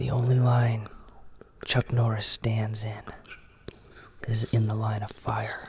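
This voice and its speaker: The speech is very slow, with long, frequent pauses and noticeable background noise. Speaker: ASMR content creator. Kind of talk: ASMR joke reading, whispered. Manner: whispered.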